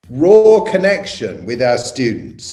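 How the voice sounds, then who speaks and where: A man with an English accent, very wide pitch swings and a fairly slow pace, with music in the background. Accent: English (RP-leaning). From England. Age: 70s. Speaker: architect and designer. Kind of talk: interview answers.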